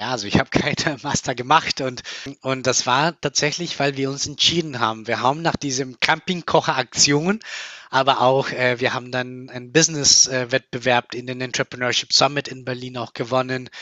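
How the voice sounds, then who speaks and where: The man speaks at a moderate pace. His pitch is medium, with ordinary pitch variation. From Colombia. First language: Spanish (speaking German). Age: 30s. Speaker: company founder. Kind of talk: interview. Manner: hesitant with many fillers.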